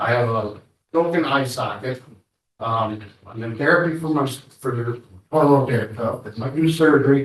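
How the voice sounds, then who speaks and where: The speaker talks at a moderate pace with ordinary pitch variation. The voice is somewhat breathy. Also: man. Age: 60s. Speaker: assault victim testifying in court. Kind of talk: courtroom testimony. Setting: courtroom. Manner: halting.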